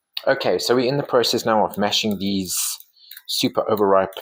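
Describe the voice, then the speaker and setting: A man speaks with a fairly low pitch and ordinary pitch variation. His is a plain, everyday voice. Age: 40s. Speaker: baking vlogger and life coach. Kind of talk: casual cooking tutorial with reflections. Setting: home kitchen. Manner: warm, conversational.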